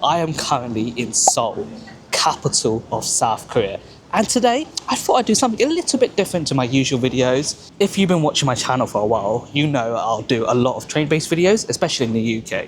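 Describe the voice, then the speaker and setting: Amid noticeable background noise, a man with a British accent speaks at a fairly quick pace and a fairly high pitch. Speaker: travel vlogger. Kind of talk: travel vlog narration. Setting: on a train.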